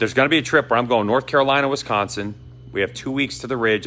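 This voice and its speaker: This is a man speaking with a Boston accent. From Boston, US. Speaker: motorcycle vlogger. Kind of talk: casual vlog talk. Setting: motorcycle dealership. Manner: casual, rambling delivery.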